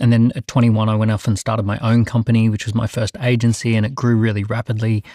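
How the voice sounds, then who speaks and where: Speaking very fast with hardly any pauses, a man with an Australian accent keeps a medium pitch and a monotone, flat intonation in a dark, mellow tone. The sound is dry and close with no echo, and the recording is very clean against a silent background. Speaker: entrepreneur. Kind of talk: panel debate.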